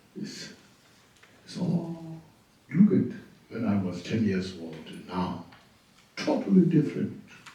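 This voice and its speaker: A man speaks with long, frequent pauses and big swings in loudness, with audible room echo around him. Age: 80s+. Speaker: Buddhist teacher. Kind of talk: dharma teaching. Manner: halting, repetitive phrasing.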